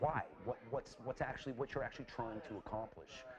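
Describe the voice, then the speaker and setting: Music plays in the background as a man speaks with a Canadian accent. His pitch varies in an ordinary way. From Canada (Calgary, Alberta). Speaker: graduate student, former fight coach. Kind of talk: casual chat. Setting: pub. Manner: halting, many repeated words.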